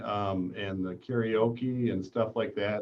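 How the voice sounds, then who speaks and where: A man of fairly low pitch speaking at a very slow pace, with ordinary pitch variation. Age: 60s. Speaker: manufacturing business owner. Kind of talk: casual chat. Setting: live video stream.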